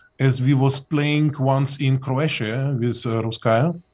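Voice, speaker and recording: A man with a non-native accent talks at a fairly slow pace, his voice somewhat breathy and his intonation fairly even. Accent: foreign. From Soviet Union. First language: Russian. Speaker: singer in a band. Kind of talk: casual chat. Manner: halting.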